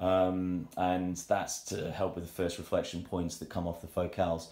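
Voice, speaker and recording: Audible room echo surrounds a man speaking with a very deep, low pitch. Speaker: audiophile showing his hi-fi system. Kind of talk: self-recorded room tour. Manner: fast; hesitant, many fillers. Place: home room. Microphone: phone near.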